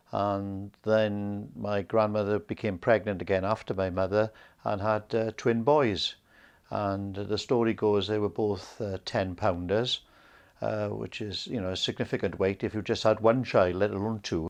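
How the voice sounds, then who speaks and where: A man with a Welsh accent speaks at a fairly slow pace in a fairly low pitch. His intonation is fairly even, and the background is quiet. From South Wales, Rhondda (Ferndale). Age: 70s. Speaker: interviewee recounting his life. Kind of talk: oral history interview. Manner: hesitant, many fillers.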